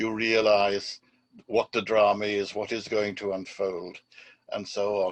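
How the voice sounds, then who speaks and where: A man speaks in an Irish accent. His pitch sits in the medium range. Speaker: former diplomat and academic. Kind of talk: conference talk.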